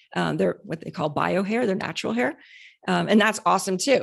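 Speaking very fast, a woman's voice shows vocal fry. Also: very clean recording, silent background. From Canada. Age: 40s. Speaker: cosmetics company founder. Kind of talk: interview.

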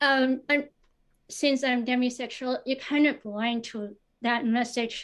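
Her pitch high and her intonation monotone and flat, a woman talks at a fairly slow pace. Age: 30s. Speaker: caller seeking dating advice. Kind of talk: casual chat. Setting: video call. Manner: hesitant.

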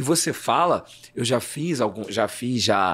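This man's voice carries lively intonation and vocal fry. The recording is very clean, with a silent background. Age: 30s. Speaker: journalist and actor. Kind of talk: interview conversation. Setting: studio. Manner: hesitant, repeats words.

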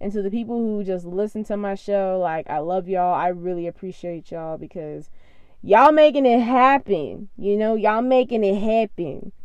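Her tone is animated, with ordinary pitch variation. The woman speaks at a medium pitch and a moderate pace. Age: 20s. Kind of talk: casual solo podcast monologue.

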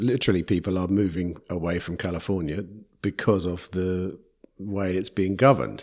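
In a very clean recording with a silent background, a man with an English accent speaks at a moderate pace in a very deep, low pitch. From England. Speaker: podcast host. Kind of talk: interview conversation. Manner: hesitant, repeats words.

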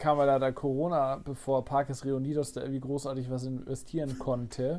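A man's voice in monotone, flat intonation. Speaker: theme park podcaster and vlogger. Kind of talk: casual chat.

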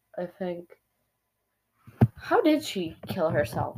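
Quiet speech at a very slow pace. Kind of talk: casual chat. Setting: at home. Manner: quiet, hushed.

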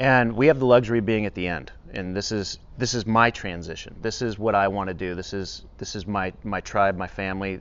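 A plain, everyday voice from a man, fairly low in pitch, with ordinary pitch variation and a fairly quick pace. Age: 50s. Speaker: podcast host, fire department special operations trainer. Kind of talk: casual interview conversation.

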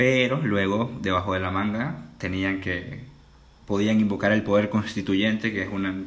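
Fairly even intonation and a moderate pace come through with audible room echo. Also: man, fairly low pitch for a man. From Venezuela (Caracas). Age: 20s. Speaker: student. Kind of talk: casual interview conversation.

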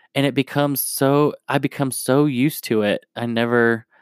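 A man's medium-pitched voice with an American accent, a moderate pace and fairly even intonation, dry and close with no echo, on a very clean recording with a silent background. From New Jersey. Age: 20s. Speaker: podcast host. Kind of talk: personal monologue. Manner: halting.

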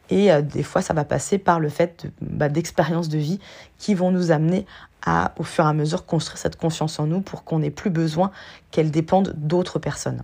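A woman's dark, mellow voice sits at a very deep, low pitch, moving at a moderate pace with fairly even intonation. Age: 40s. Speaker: life coach and podcast host. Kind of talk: solo podcast monologue. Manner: hesitant, many fillers.

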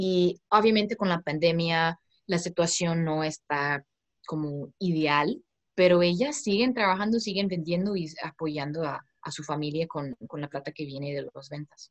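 The voice has an American accent and a fairly slow pace, with ordinary pitch variation. Loudness swings widely, and the sound is dry and close with no echo. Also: woman, fairly low pitch for a woman. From United States. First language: English (speaking Spanish). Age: 20s. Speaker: startup founder. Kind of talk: interview. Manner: halting.

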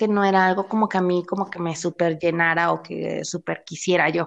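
With a Mexican accent, a woman speaks at medium pitch and a moderate pace. The background is quiet. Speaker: podcast co-host. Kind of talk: casual chat. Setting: remote recording. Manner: animated, frequent laughter.

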